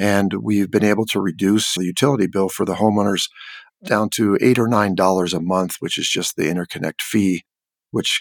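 Heard in a dry, close sound with no echo, a man with an American accent speaks in an unremarkable speaking voice, fairly low in pitch and at a fairly quick pace. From California. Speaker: construction director. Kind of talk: casual interview.

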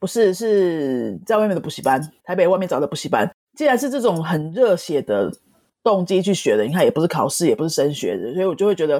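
Very wide pitch swings and vocal fry mark this very fast delivery in a Taiwanese accent. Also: woman, fairly low pitch for a woman. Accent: Taiwanese Mandarin. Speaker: Spanish teacher and author. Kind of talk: interview.

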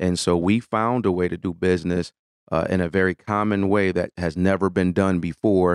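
In an American accent, a man speaks at a very deep, low pitch and a moderate pace, his intonation monotone and flat. The recording is very clean, with a silent background, and the sound is dry and close with no echo. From US Midwest, Detroit. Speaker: management consultant. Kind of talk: interview.

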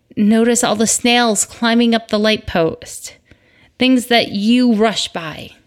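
Speaking very slowly with an American accent, a woman keeps a fairly high pitch and fairly even intonation. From Michigan, US Midwest. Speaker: podcast host, mother. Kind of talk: casual monologue. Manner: conversational, rambling.

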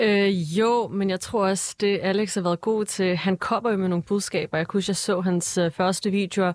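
A woman's normal speaking voice at a fairly quick pace with fairly even intonation, dry and close with no echo, on a very clean recording with a silent background. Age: 20s. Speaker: entrepreneur and parliamentary candidate. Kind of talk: panel discussion.

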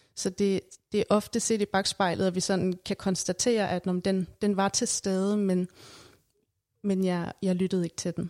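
A woman's medium-pitched voice, dark and mellow in tone, monotone and flat in intonation, at a fairly slow pace, in a very clean recording with a silent background and a dry, close sound with no echo. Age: 30s. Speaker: psychologist. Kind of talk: casual interview. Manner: halting, many fillers.

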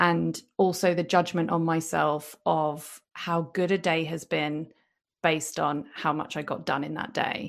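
With a British accent, a woman speaks at a fairly slow pace in a very deep, low voice with vocal fry and fairly even intonation. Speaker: podcast host and business coach. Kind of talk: casual chat. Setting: video call.

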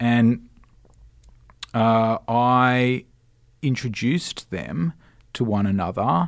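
A man with an Australian accent at a very slow pace and medium pitch, with ordinary pitch variation, long, frequent pauses, and a very clean recording over a silent background. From Australia, Sydney (Cronulla). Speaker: radio presenter and station manager. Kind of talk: casual chat. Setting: studio.

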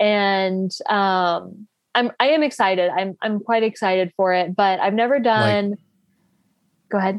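At a fairly slow pace, a woman talks in a plain, everyday voice of medium pitch, with ordinary pitch variation. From US South, North Carolina. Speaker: bikepacking racer and copywriter. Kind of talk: casual interview. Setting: call.

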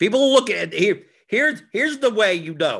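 A man's bright, sharp tone with vocal fry swings very widely in pitch. The recording is very clean with a silent background. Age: 40s. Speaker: fantasy sports strategy show host. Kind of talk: casual solo livestream talk. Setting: live YouTube stream. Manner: fast with frequent repetitions and fillers.

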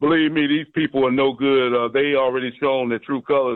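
Fairly quick in pace, a man speaks. It is an ordinary speaking voice. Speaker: caller. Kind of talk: call-in radio. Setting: phone call.

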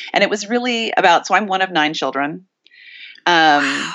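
Using a plain, everyday voice, a woman talks at a fairly quick pace and a fairly low pitch with lively intonation. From Montana. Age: 50s. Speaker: author and art historian. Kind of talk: casual interview.

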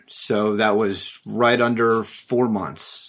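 A man with an American accent talks at a very slow pace in a medium pitch. His intonation stays monotone and flat. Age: 30s. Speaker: keto diet group member. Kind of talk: interview. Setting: studio.

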